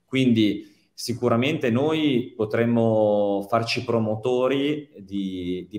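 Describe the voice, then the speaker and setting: A man speaking at a very slow pace, ordinary pitch variation, audible room echo and a quiet background. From South Tyrol, Italy (Bolzano). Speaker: politician and entrepreneur. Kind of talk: interview. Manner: halting. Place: home room. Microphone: video call.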